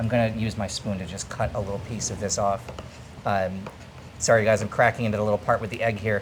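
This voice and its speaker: A man with a fairly low voice talks at a very fast clip over noticeable background noise. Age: 40s. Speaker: food travel vlogger and chef. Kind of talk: casual food vlog presenting. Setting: restaurant in northern Thailand. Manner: animated.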